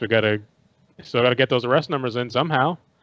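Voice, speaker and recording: Over a quiet background, a man with a New York accent speaks at a very fast pace and medium pitch. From New York City. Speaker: podcast co-host. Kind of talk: casual chat.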